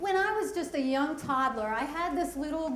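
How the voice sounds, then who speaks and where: A woman's lively intonation comes through over noticeable background noise and audible room echo. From US Northeast, Pennsylvania/Delaware area. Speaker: storyteller. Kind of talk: personal storytelling.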